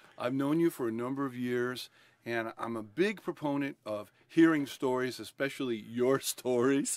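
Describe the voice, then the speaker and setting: A man is speaking at a moderate pace. His voice sits at a medium pitch. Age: 50s. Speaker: interviewer. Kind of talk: interview. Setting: recording booth. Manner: halting, repeats words.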